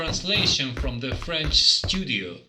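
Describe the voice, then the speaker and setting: Audible room echo around a man talking at a fairly slow pace. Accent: non-native. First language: not English. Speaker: game reviewer. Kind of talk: scripted review narration.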